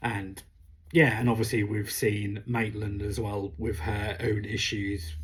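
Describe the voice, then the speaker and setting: A man speaks with a British accent and a fairly low pitch. His voice is somewhat breathy. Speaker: comic book reviewer. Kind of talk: casual review vlog. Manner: hesitant, many fillers.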